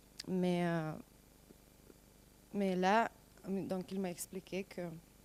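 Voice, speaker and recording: Speaking very slowly with a non-native accent, a woman keeps to a medium pitch. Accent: noticeable foreign accent in French. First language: not French (speaking French). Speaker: stage actor. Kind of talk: interview. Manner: halting.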